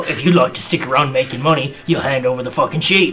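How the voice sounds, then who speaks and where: A man talks at a very fast pace in a put-on character voice pitched fairly high, with clear background noise behind him. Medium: actual play. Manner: menacing, curt.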